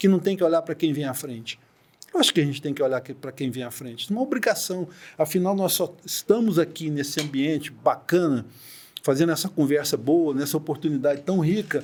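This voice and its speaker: Fairly quick speech from a man, fairly high in pitch with ordinary pitch variation. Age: 60s. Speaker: deputy notary. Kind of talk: podcast interview. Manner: animated.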